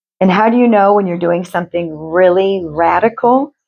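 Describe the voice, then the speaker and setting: A woman at a moderate pace, medium in pitch, with ordinary pitch variation. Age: 50s. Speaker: tarot reader and spiritual channeler. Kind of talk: tarot reading. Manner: casual, chatty; halting.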